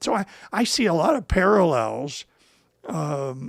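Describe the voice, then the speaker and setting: A fairly high male voice in a very clean recording with a silent background. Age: 60s. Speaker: language learner, channel creator. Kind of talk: casual educational conversation. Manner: halting.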